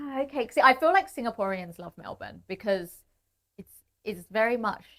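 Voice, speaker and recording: Her loudness and pitch both swinging widely, a woman with a British accent speaks at a moderate pace in a fairly high voice. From Britain. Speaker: comedian and podcast host. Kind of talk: casual chat.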